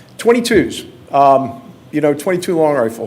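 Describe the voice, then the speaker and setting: A normal speaking voice at a moderate pace with lively intonation. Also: man. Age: 60s. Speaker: hunter giving a presentation at a county board meeting. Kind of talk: public presentation. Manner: casual, conversational.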